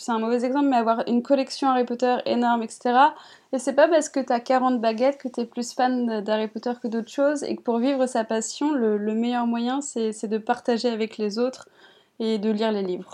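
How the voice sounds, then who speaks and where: This woman's high voice has a dark, mellow tone, fairly even intonation and a moderate pace. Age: 20s. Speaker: YouTuber. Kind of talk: interview. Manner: hesitant, many fillers.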